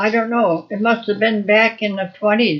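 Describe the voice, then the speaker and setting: A woman is speaking here. Her voice sits at a fairly high pitch. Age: 80s+. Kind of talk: interview answer. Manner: casual, reminiscing.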